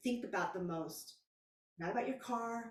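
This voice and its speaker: Somewhat breathy and animated, a woman with an American accent talks at a medium pitch with ordinary pitch variation, and audible room echo surrounds her. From Texas. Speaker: spiritual coach. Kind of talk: casual vlog monologue.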